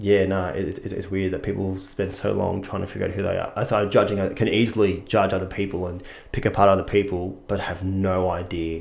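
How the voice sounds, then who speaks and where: A man with an Australian accent talks at a fairly quick pace in a monotone, flat intonation, with hardly any pauses and audible room echo. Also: fairly low pitch for a man. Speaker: actor. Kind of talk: casual chat.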